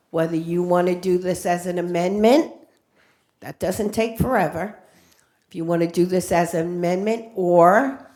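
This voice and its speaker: A woman speaks in a fairly low pitch with a dark, mellow tone and fairly even intonation. Audible room echo surrounds her voice. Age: 70s. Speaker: public commenter, veterans' chaplain. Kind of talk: public comment at council meeting. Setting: city council chambers.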